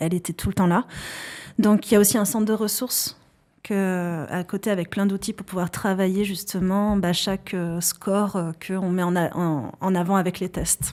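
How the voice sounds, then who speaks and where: In a slight Basque accent, a woman speaks at a medium pitch and moderate pace with fairly even intonation, on a very clean recording with a silent background. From French Basque Country, countryside. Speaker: psychologist and founder of an assessment tool. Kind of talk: podcast interview. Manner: hesitant, many fillers.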